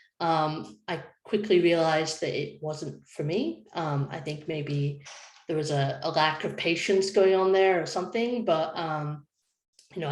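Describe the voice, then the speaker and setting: The speaker talks at a moderate pace. The room echo is audible. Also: woman. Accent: Scottish. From Scotland. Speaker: design lead. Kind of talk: panel presentation.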